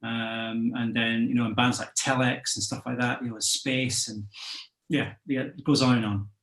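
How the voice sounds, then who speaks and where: With a slight Scottish accent, a man talks at a moderate pace. His intonation is fairly even. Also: medium pitch for a man. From Scotland. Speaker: musician. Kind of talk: interview. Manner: halting, many fillers.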